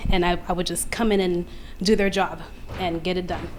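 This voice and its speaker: A soft-spoken woman at a medium pitch with ordinary pitch variation, over noticeable background noise. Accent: American. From Queens, New York. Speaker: audience member asking a question. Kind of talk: audience question. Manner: hesitant.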